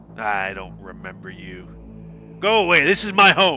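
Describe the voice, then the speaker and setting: Over clear background noise, a man uses a gruff, put-on character voice, raised and projected, at a moderate pace. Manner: whiny.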